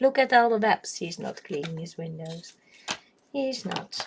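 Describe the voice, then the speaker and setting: Over noticeable background noise, a woman speaks at a fairly slow pace. Her pitch is medium, with ordinary pitch variation. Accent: Dutch. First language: Dutch. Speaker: coloring livestreamer. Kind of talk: casual livestream chat while coloring. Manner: hesitant, many fillers.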